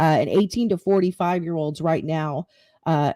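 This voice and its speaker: Her voice is dark and mellow, fairly low for a woman, with fairly even intonation. The recording is very clean, with a silent background and a dry, close sound without echo. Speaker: podcast host. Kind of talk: live-streamed podcast monologue. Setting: home live stream. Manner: halting, stuttering.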